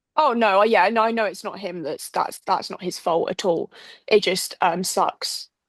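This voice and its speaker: A woman speaks with an English accent at a medium pitch. Her pace is moderate, and her pitch varies in an ordinary way. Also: dry, close sound with no echo, quiet background. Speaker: podcast co-host. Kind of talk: casual chat. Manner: animated.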